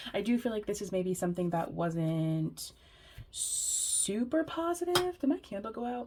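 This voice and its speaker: A woman with a fairly high pitch and very wide pitch swings at a moderate pace, over noticeable background noise. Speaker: tarot reader. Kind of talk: tarot reading. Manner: casual, giggly.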